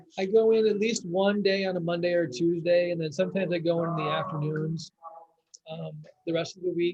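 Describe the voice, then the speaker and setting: Loud, high male voice at a fairly quick pace with fairly even intonation. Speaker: biology teacher. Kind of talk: parent-teacher video meeting chat.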